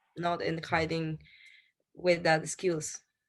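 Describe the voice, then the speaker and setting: Speaking at a fairly slow pace, a woman with a Spanish accent uses a fairly low pitch. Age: 30s. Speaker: restaurant owner. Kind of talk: interview.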